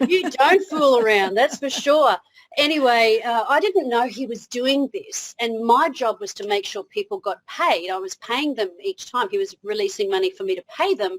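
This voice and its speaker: With an Australian accent, a woman speaks at a moderate pace in a high pitch with very wide pitch swings and a dry, close sound with no echo. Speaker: motivational speaker. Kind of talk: interview.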